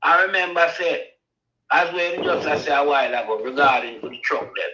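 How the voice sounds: A man speaks at a moderate pace with a bright, sharp tone and fairly high pitch. His pitch varies in an ordinary way, and room echo is audible.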